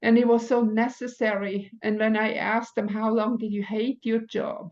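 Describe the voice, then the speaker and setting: A woman with a non-native accent, fairly high pitch, monotone, flat intonation and a moderate pace. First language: not English. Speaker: spiritual teacher. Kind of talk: oracle card reading monologue. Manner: halting.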